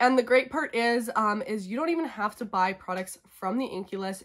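The pace is fairly quick. The background is quiet. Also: woman. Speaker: beauty vlogger. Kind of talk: casual vlog chat. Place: home room. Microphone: phone near.

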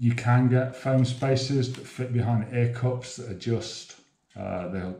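A man's voice comes with audible room echo. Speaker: presenter. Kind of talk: tutorial. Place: home room.

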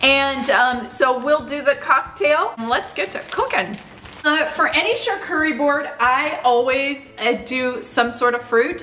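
A woman speaks in a raised, projected voice at a fairly slow pace. Her pitch varies in an ordinary way over light background noise. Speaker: lifestyle vlogger. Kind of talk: casual cooking tutorial chat. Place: kitchen.

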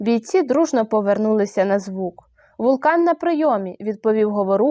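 Lively intonation in a natural reading voice

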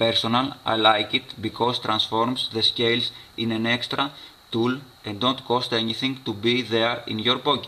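With a Greek accent, a man talks at a fairly slow pace in a flat monotone at a medium pitch, over noticeable background noise. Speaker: survival and outdoor gear YouTuber. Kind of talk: tutorial.

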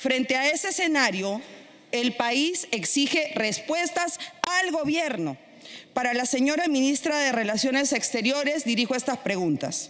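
Pitched high, a woman speaks at a fairly slow pace with lively intonation. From Peru. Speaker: congresswoman. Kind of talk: parliamentary speech. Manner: formal. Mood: combative, indignant. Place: hall. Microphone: podium.

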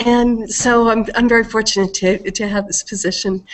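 Fairly even intonation from a female speaker. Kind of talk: meeting self-introduction. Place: home room. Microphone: headset.

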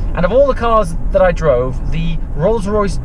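A man at a moderate pace, dry sound with no echo, noticeable background noise. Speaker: car reviewer. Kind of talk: casual vlog chat. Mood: relaxed, amused.

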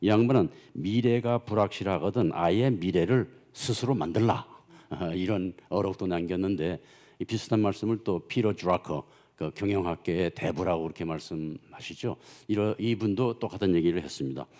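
A man's very deep, low voice, dark and mellow in tone, against a quiet background. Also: ordinary pitch variation, moderate pace. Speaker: economics professor. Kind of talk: lecture. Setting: conference hall with audience. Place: hall. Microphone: podium.

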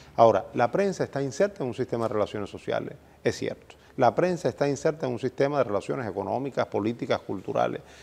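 A man at a medium pitch, talking at a very fast pace with vocal fry and lively intonation over a quiet background. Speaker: journalism professor and dean. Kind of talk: interview.

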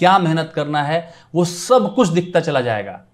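Against a quiet background, a man speaks at a high pitch and a very slow pace. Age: 40s. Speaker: civil servant and exam coach; exam coach. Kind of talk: motivational talk. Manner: animated. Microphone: lapel.

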